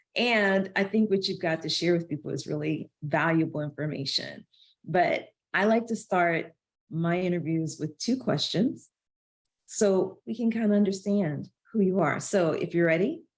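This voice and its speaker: A woman with an American accent speaks at a moderate pace in a medium-pitched voice with ordinary pitch variation. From US South. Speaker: podcast host. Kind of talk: podcast interview.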